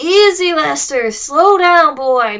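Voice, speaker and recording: Shouting in a put-on character voice, a woman sounds raspy at a high pitch with very wide pitch swings. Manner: shouting, commanding.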